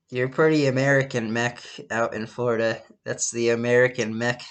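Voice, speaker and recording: The man speaks at a moderate pace. His intonation is monotone and flat. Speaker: podcast host. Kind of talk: casual chat. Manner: loud; halting, many restarts. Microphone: laptop recording, own voice louder than call partner.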